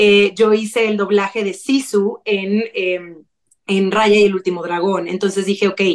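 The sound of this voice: A woman speaks at a medium pitch and a fairly slow pace. Her voice is raspy, with little pitch movement.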